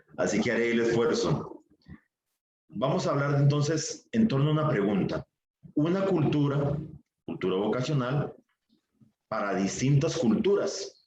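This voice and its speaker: Fairly high in pitch, a man speaks at a fairly slow pace with very wide pitch swings and long, frequent pauses. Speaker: priest and vocation formator. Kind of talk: lecture. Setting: virtual session.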